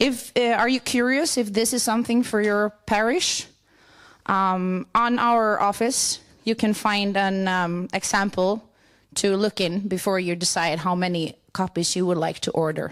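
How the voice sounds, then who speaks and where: A woman in a southern Swedish accent, medium in pitch with ordinary pitch variation, on a very clean recording with a silent background. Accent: Swedish (Scanian) accent in English. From southern Sweden (Skåne, Lund). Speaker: church worker. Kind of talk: conference presentation. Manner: halting.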